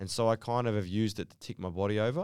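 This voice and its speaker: A man with an Australian accent talks at a fairly quick pace with ordinary pitch variation, recorded very cleanly against a silent background with a dry, close sound and no echo. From Western Sydney, Australia. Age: 30s. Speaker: professional basketball player. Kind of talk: casual interview chat. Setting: studio.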